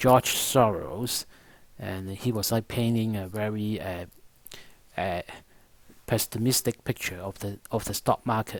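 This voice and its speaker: A man is speaking. He has a non-native accent. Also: very clean recording, silent background. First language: not English. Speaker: stock market analyst. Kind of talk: market analysis monologue. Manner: halting, many fillers.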